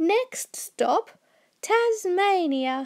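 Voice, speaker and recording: The voice is a put-on character. Its pitch swings very widely. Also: woman. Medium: read story. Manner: warm, cheerful.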